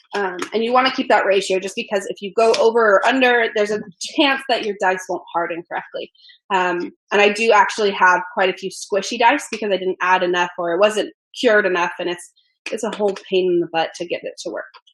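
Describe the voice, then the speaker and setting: A woman talks fairly quickly, her medium-pitched voice rising and falling in an ordinary way. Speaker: dice maker and teacher. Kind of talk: tutorial. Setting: livestream from home workshop. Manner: fast.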